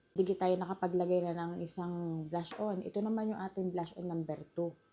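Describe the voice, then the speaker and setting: In a Batangas accent, a woman talks at a fairly quick pace with monotone, flat intonation. Her pitch is fairly low and her tone dark and mellow. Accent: Batangueño Tagalog. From Batangas, Philippines. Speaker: vlogger. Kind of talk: makeup tutorial talk to camera. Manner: exaggerated regional accent, emphatic.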